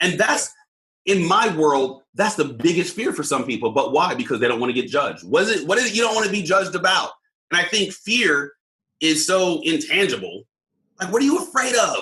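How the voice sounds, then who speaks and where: A man with an American accent uses a raised, projected voice, bright and sharp in tone. He talks fairly quickly at a high pitch, with very wide pitch swings. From Southern California. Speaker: leadership coach, former police officer. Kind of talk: casual interview chat. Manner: animated.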